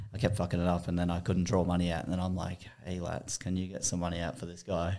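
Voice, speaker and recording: A man talks very fast in an Australian accent. His pitch is very deep and low. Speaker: podcast guest. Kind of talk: casual chat. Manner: animated.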